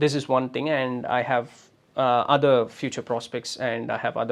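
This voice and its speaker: A man speaks at a fairly slow pace with a Tamil Nadu accent. His pitch is medium, and the recording is very clean with a silent background. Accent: Tamil Indian English. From Tamil Nadu, India. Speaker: podcaster. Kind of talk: motivational monologue. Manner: hesitant, many fillers.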